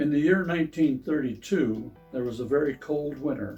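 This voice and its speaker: With music in the background, a man in a Pennsylvania accent speaks at a fairly high pitch and moderate pace with ordinary pitch variation. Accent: Pennsylvania American English. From Pennsylvania, USA. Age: 80s+. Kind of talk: reading his own memoir aloud.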